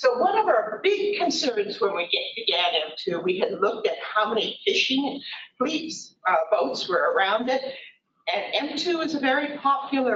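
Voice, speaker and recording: With light background noise and audible room echo, a woman speaks high-pitched at a fairly slow pace. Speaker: presenter. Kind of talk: lecture. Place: hall.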